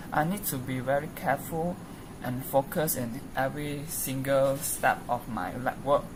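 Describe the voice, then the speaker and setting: This woman's voice sits very deep and low, with noticeable background noise behind it. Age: 20s. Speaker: university student. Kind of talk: self-introduction for a class task. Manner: halting, many fillers.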